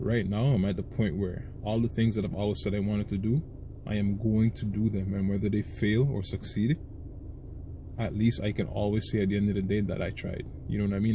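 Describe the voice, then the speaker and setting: Somewhat breathy and dark, mellow in tone, a man with a fairly low pitch speaks at a fairly quick pace with fairly even intonation. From Trinidad and Tobago. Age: 20s. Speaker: vlogger. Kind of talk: casual monologue to camera.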